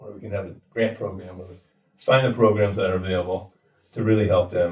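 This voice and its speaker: Somewhat breathy and fairly low in pitch, a man talks at a fairly quick pace with fairly even intonation. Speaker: mortgage lender. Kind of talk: interview. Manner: hesitant, many fillers.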